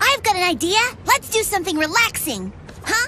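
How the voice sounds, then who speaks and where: A cartoonish character voice sits at an extremely high pitch. It moves at a fairly quick pace over clear background noise. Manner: bright, enthusiastic.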